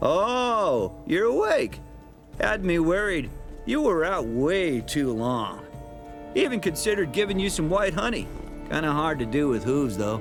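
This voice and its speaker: Over music in the background, the speech moves at a fairly slow pace with very wide pitch swings and very even loudness. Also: man, high pitch for a man. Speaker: voice of a talking horse character. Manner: dry, sarcastic.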